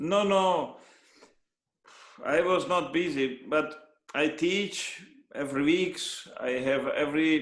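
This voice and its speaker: Through audible room echo, a man with a Hungarian accent speaks very slowly, fairly high in pitch, with ordinary pitch variation and long, frequent pauses. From Hungary. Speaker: trumpet player and teacher. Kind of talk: interview. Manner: halting, with many repetitions.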